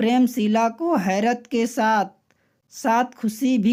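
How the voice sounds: Fairly even intonation in a natural reading voice, quiet background behind it.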